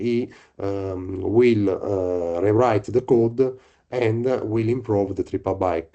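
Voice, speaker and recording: Against a quiet background, a man with an Italian accent and a dark, mellow tone speaks at a fairly slow pace, with fairly low pitch and fairly even intonation. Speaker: researcher. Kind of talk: presentation. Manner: halting.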